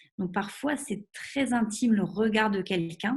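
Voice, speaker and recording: A woman talks with some breathiness, her pitch in the middle range and shifting in a typical way. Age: 30s. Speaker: sexologist. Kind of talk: webinar presentation. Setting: online webinar. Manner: hesitant, many fillers.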